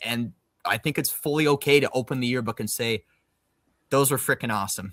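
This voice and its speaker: On a very clean recording with a silent background, a man with an unremarkable speaking voice talks at a fairly quick pace and a medium pitch. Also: ordinary pitch variation, dry, close sound with no echo. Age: about 30. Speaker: podcast host, former college athlete. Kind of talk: casual chat. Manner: filler-heavy.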